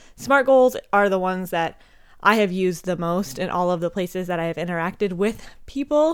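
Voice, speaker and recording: A woman with a slight Minnesota accent speaks at a fairly quick pace, her intonation lively and her tone animated. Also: medium pitch for a woman. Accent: slight Upper Midwest (Minnesota). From Montana, US. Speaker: chiropractic sports physician and pole coach, podcaster. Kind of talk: casual solo podcast monologue. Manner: chatty, animated, informal, swears.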